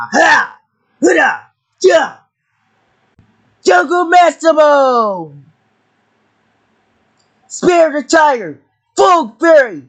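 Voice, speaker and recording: A man's put-on character voice, extremely high in pitch, at a very slow pace with long, frequent pauses. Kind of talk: battle cries and morph calls. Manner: shouted, energetic.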